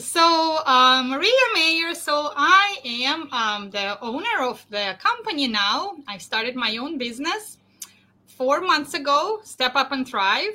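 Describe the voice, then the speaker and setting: A woman projects a raised voice at a high pitch with very wide pitch swings. She goes at a very slow pace. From Russia. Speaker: leadership coach. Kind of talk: interview.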